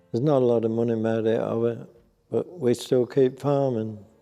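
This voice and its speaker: A man's monotone, flat intonation over music in the background. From Norfolk fens, England. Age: 80s+. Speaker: sugar beet farmer. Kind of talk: interview answer.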